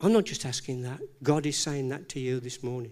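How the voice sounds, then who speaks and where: A man with a fairly high pitch speaks at a moderate pace with ordinary pitch variation. His tone is dark and mellow, and the recording is very clean with a silent background. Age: 70s. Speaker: preacher. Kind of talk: sermon. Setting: church. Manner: halting.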